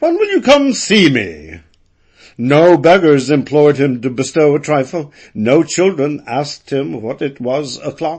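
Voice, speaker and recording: This man has an American accent and a fairly high pitch. He speaks at a fairly slow pace with ordinary pitch variation. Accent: educated American. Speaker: audiobook narrator. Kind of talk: audiobook narration of classic fiction. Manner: spirited, expressive.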